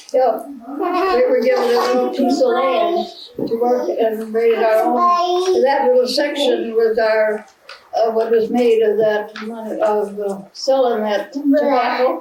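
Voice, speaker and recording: Over noticeable background noise, a woman with a high pitch speaks at a fairly slow pace with lively intonation. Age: 80s+. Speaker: retired farm woman, great-grandmother. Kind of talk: interview answer, family home video.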